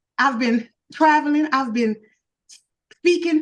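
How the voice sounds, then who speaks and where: This woman has a high voice and a Louisiana accent. She talks at a fairly slow pace. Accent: Louisiana speech. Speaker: social media influencer and podcaster. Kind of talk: interview. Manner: animated, preachy.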